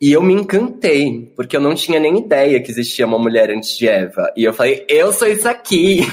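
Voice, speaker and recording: Speaking at a fairly quick pace with hardly any pauses, a man uses a fairly high pitch, an animated tone, very wide pitch swings and vocal fry. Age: 20s. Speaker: drag performer. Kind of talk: casual chat. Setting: video call.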